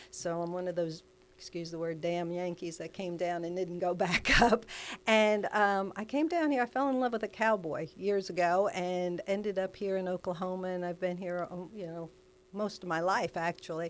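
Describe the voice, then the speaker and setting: A woman with an American accent and a normal speaking voice talks at a moderate pace and medium pitch, with ordinary pitch variation, in a very clean recording with a silent background. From New Jersey (Elizabeth). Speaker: life coach. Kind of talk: interview conversation.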